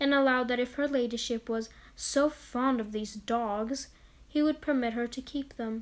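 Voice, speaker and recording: A woman's high-pitched voice at a moderate pace, with fairly even intonation, on a very clean recording against a silent background. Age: student. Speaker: lore video narrator. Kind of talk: narrated lore reading; casual outro chat. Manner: monotone.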